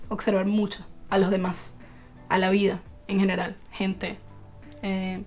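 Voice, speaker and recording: A Venezuelan accent over music in the background. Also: woman. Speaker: actress. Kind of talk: podcast interview answer.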